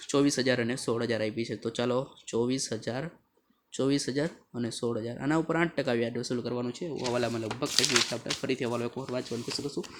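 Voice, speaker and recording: A soft-spoken man at medium pitch, with fairly even intonation. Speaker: accountancy teacher. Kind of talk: tutorial.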